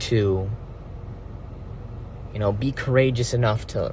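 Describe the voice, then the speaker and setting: A man's medium-pitched voice carries fairly even intonation over noticeable background noise. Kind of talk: philosophical monologue to camera. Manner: casual, rambling.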